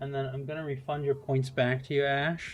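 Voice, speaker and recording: He is a man with an American accent and a fairly high pitch. His voice is somewhat breathy. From US, Seattle. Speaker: game streamer. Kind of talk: live gameplay stream commentary. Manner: casual, hesitant with fillers.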